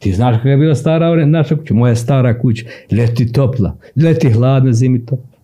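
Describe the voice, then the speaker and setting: A man speaks at a fairly quick pace and a medium pitch, with ordinary pitch variation. His voice is somewhat breathy with a dark, mellow tone and very even loudness. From Serbia, Sandžak (Novi Pazar). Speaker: writer and poet. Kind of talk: casual interview.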